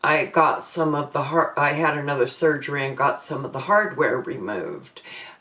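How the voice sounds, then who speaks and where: Over noticeable background noise, a woman with a very deep, low voice speaks at a moderate pace with ordinary pitch variation. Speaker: vlogger living with ALS. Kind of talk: personal vlog talk. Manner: halting.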